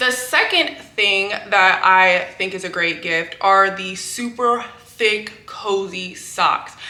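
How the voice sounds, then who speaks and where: A woman talks at a very slow pace with hardly any pauses, at a medium pitch with ordinary pitch variation. She has an American accent, and noticeable background noise can be heard. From California. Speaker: book YouTuber. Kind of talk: casual vlog talk. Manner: casual with fillers.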